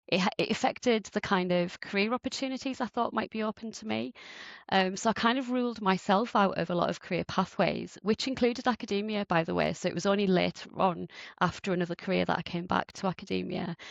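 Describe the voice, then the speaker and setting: Here a woman speaks at a very fast pace with a medium pitch, ordinary pitch variation, and vocal fry. The sound is dry and close with no echo, over a quiet background. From northeast England. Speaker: professor. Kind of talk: interview.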